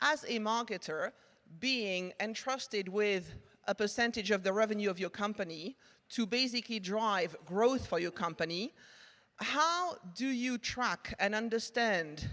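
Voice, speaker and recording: A woman speaks in a French accent with a fairly high pitch. Her pace is fairly slow, with ordinary pitch variation. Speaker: marketing tech executive. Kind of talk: conference presentation. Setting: stage with audience.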